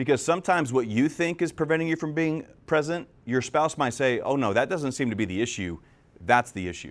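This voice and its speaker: A man at a fairly quick pace, fairly high-pitched with lively intonation, in a very clean recording with a silent background. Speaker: real estate agent and podcast host. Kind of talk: live talk. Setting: stage with audience. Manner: fast; loud.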